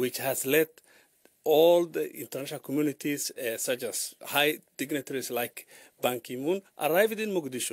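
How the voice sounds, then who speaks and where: On a very clean recording with a silent background and a dry, close sound with no echo, a man with a Somali accent speaks at a moderate pace in a fairly high pitch with ordinary pitch variation. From Somalia. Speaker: journalist. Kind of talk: radio interview. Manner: halting, many fillers.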